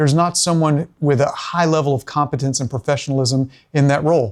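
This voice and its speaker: Over a very clean recording with a silent background, a man talks at a fairly quick pace. His pitch is fairly high, with ordinary pitch variation. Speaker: bookkeeper and business owner. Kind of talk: business presentation. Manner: fast.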